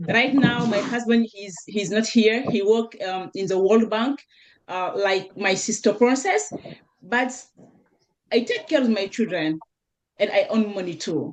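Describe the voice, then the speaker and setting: A fairly high-pitched woman with a French accent, at a fairly slow pace with long, frequent pauses. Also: ordinary pitch variation. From Senegal. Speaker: network marketer. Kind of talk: panel discussion testimony. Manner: halting, searching for words.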